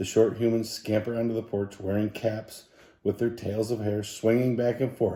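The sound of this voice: What we hear is an unforced reading voice.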